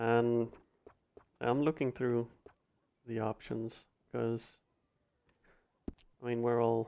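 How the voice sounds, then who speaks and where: In a non-native accent, a man with a medium-pitched, dark and mellow voice speaks very slowly in a flat monotone, with long, frequent pauses. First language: not English. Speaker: gaming video creator. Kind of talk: gameplay commentary narration. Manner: halting, many repeated words.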